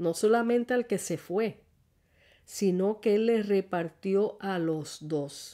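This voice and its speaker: A woman's dark, mellow tone at a very slow pace, on a very clean recording with a silent background. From Puerto Rico, rural Ciales. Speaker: lay preacher and podcast host. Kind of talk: sermon.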